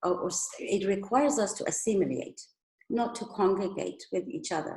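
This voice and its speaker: A woman speaks at a moderate pace with a Persian accent. Her pitch is fairly high. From Iran. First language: Persian (Farsi). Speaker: migrant storyteller. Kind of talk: personal testimony talk.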